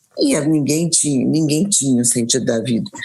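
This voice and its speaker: The delivery moves at a moderate pace. The intonation is lively. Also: woman. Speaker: spiritist speaker. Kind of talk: interview in a live stream. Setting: live online stream. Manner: halting, many repetitions.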